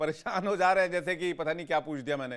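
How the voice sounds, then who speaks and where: A man speaks in an animated tone at a high pitch. The recording is very clean, with a silent background. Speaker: TV news anchor. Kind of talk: heated debate.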